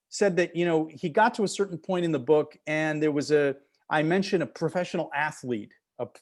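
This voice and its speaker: The speaker has an American accent and talks at a fairly quick pace. It is an ordinary speaking voice. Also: man, quiet background. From Wisconsin, US Midwest. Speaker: author and playwright. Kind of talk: author interview. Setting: video call.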